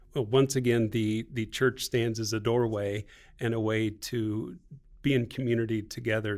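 In a very clean recording over a silent background, a man with an American accent uses a normal speaking voice at medium pitch, a moderate pace and fairly even intonation. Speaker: missionary at hospital.

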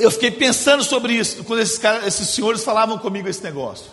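Over noticeable background noise, a man with a Minas Gerais accent speaks in an animated tone at an extremely high pitch. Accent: Brazilian Portuguese, Minas Gerais (mineiro). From Brazil, Belo Horizonte (Minas Gerais). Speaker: guest preacher. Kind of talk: sermon.

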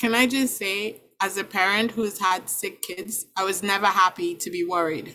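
With hardly any pauses, a woman at a medium pitch speaks at a moderate pace in a bright, sharp tone with fairly even intonation. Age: 40s. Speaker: parent. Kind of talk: casual chat.

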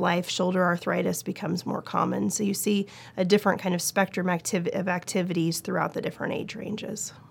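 Monotone, flat intonation and vocal fry mark a woman's medium-pitched voice at a fairly quick pace with hardly any pauses. The recording is very clean, with a silent background. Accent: American. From Oregon, US. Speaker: orthopedic surgeon. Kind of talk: interview.

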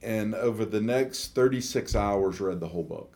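A man with a fairly low pitch talks at a moderate pace in a normal speaking voice. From US South, Atlanta, Georgia. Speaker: ministry representative. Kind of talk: radio interview.

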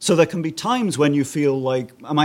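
A man with a plain, everyday voice and fairly high pitch speaks at a fairly quick pace with ordinary pitch variation. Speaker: music lecturer. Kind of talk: panel discussion. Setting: stage with audience.

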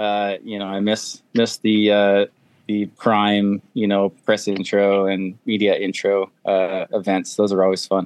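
A man speaks at a fairly low pitch. His pace is fairly slow. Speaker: experienced adventure motorcycle rider. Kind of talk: casual chat. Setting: video call.

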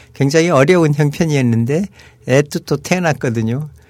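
In an unremarkable speaking voice, a man with a fairly high pitch talks at a moderate pace with ordinary pitch variation. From Seoul, South Korea. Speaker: retired diplomat and professor. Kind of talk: casual chat.

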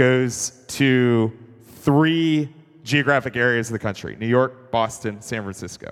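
A man in a normal speaking voice, at a fairly slow pace with ordinary pitch variation. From US South, Atlanta. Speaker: investor and entrepreneur. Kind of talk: onstage interview in church.

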